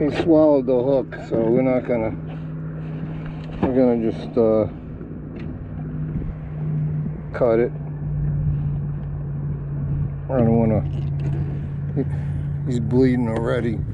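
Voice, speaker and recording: Fairly slow speech with long, frequent pauses, loud background noise and a dry sound with no echo. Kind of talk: casual vlog chat. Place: boat. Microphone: phone near.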